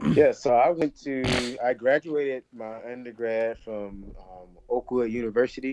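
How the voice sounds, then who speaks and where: A plain, everyday voice with an American accent, ordinary pitch variation, hardly any pauses and big swings in loudness, in a dry, close sound with no echo. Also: man, medium pitch for a man. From Alabama, US South. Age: 20s. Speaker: physical therapy student. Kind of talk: interview.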